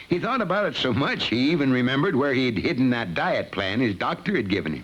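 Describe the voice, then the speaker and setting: Vocal fry runs through a man's very fast speech. His voice swings very widely in pitch. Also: medium pitch for a man. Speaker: voice actor. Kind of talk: educational film narration.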